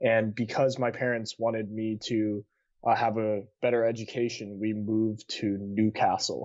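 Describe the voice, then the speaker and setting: Speaking with a West Coast US accent, a man keeps a medium pitch and a moderate pace in monotone, flat intonation. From Seattle area, US Pacific Northwest. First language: Cantonese. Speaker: college student. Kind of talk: podcast interview.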